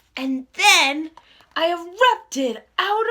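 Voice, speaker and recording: A put-on character voice that sounds female speaks at a very slow pace. The pace stays very slow throughout. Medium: read story. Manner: calm, unhurried.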